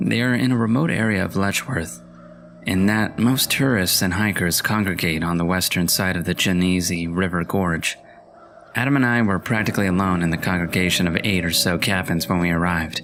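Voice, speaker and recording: A man's very deep, low voice at a fairly quick pace, with very even loudness and ordinary pitch variation. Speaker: voice-over narrator. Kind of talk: horror story reading.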